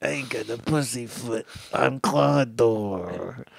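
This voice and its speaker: Putting on a character voice with a Brooklyn accent, a man talks at a medium pitch and a fairly slow pace. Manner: gruff, tough.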